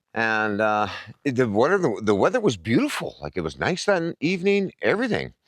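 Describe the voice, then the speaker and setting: In an Albertan accent, a man talks at a moderate pace with very wide pitch swings, the sound dry and close with no echo on a very clean recording with a silent background. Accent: Canadian (Alberta). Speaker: camping vlogger. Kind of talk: casual vlog talk. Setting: outdoors at campground. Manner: conversational with many fillers.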